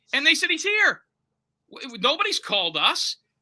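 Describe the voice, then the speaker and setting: A man's raised, projected voice with an American accent, bright and sharp, fairly quick, in dry, close sound with no echo. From Florida. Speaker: private investigator. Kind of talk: interview. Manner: fast.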